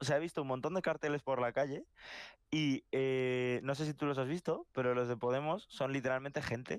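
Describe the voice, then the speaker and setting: A man with a fairly high voice and ordinary pitch variation is heard in a very clean, dry, close recording with no echo and a silent background. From Madrid, Spain. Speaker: podcast co-host. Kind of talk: casual chat. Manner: animated.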